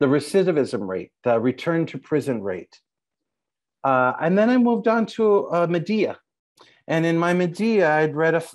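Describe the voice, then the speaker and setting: A man is speaking at a moderate pace. The background is quiet. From Los Angeles. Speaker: playwright; panelist. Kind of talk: panel talk. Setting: video call. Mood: reflective, animated. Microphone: earbuds.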